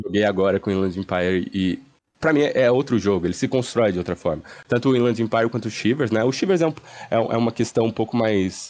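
Over a quiet background, a man speaks very fast at a very even loudness, with ordinary pitch variation. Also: medium pitch for a man. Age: 30s. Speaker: community member. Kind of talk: casual chat.

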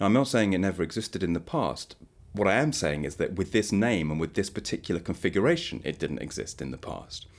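A very fast, fairly low-pitched man's voice with vocal fry and very wide pitch swings. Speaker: historian. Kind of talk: academic discussion.

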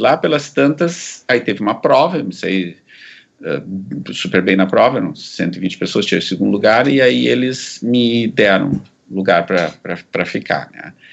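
The voice carries vocal fry and very wide pitch swings. The pace is fairly slow. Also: man, fairly low pitch for a man. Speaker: psychiatrist and researcher. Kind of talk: interview, life story.

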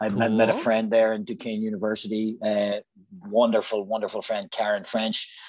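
A man with a Northern Irish accent talks at a fairly quick pace in a fairly low, monotone voice with flat intonation. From Northern Ireland, Newry, County Down. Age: 40s. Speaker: actor. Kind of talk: casual chat.

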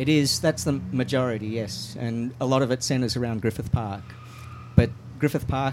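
A somewhat breathy man speaks at a fairly quick pace. His intonation stays fairly even. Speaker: mountain bike advocate. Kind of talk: radio interview.

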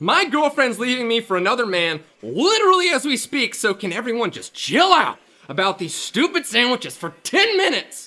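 A put-on character voice with very wide pitch swings, a bright, sharp tone, a moderate pace and few pauses. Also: man, extremely high pitch for a man.

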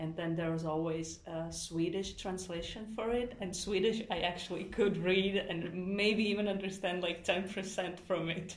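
A woman's medium-pitched voice at a fairly slow pace with fairly even intonation, over noticeable background noise. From Latvia. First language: Latvian and Russian. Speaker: nursing student. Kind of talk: interview. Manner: halting.

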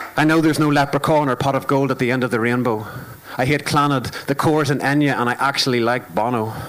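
Man in a Northern Irish accent, very fast pace, fairly even intonation and very even loudness, over noticeable background noise. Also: medium pitch for a man. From Northern Ireland. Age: 30s. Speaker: performance poet. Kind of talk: spoken word poetry performance. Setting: stage with audience, live broadcast.

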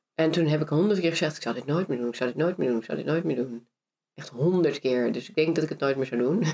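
A woman at a very fast pace, very deep and low in pitch, dark and mellow in tone, with ordinary pitch variation. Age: 30s. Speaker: actress and entrepreneur. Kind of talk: casual interview.

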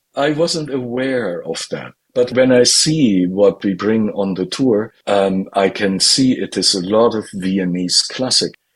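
Speaking with a German accent, a man talks at a fairly slow pace with hardly any pauses, a fairly low pitch and ordinary pitch variation. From northern Germany. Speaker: classical violinist. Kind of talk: interview.

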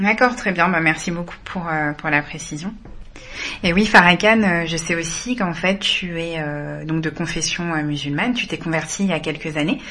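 Against noticeable background noise, a woman speaks at a moderate pace with fairly low pitch and ordinary pitch variation. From France, Malian heritage. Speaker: podcast co-host. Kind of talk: casual interview.

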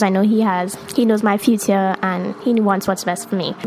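A woman speaks in a Trinidadian accent at a medium pitch. Noticeable background noise runs underneath. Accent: Trinidad and Tobago English. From Tobago. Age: 20s. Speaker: science graduate. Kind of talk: casual chat.

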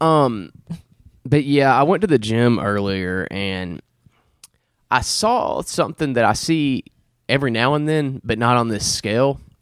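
A medium-pitched man's voice with a Southern US accent, at a fairly slow pace with long, frequent pauses. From Alabama. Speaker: podcast host. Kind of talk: casual chat.

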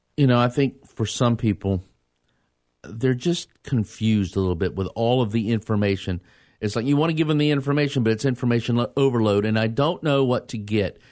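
With an unremarkable speaking voice at a medium pitch, a man talks at a fairly quick pace with ordinary pitch variation and very even loudness, on a very clean recording with a silent background. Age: 40s. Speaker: radio host. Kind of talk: radio interview. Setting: studio.

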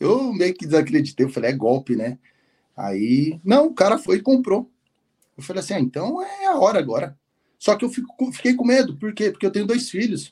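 With very wide pitch swings, a man speaks at a moderate pace in a high-pitched voice with a dark, mellow tone. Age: 30s. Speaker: former truck driver turned bank employee. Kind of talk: interview.

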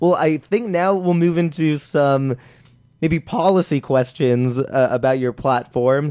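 Fairly high in pitch, this man has an ordinary speaking voice, and his pitch varies in an ordinary way. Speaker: student podcast host. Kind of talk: interview. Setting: studio.

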